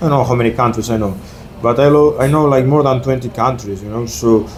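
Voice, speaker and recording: A man speaks at a very fast pace with fairly even intonation. Audible room echo and noticeable background noise fill the recording. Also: medium pitch for a man. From Argentina. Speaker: exchange student. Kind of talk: casual interview chat. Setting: in person in Naples. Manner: halting, many fillers; quiet.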